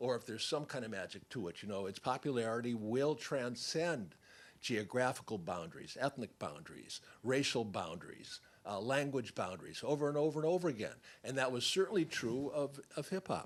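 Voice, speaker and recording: Vocal fry from a man at a medium pitch, with lively intonation and a fairly quick pace. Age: 70s. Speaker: film subject and hip hop expert. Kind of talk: panel talk after screening.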